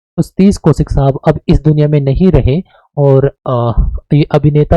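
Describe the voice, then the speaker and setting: A man's fairly high, somewhat breathy voice has a dark, mellow tone and ordinary pitch variation, recorded dry and close with no echo. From Haryana, Kaithal. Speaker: teacher. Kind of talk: lecture. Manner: casual, conversational.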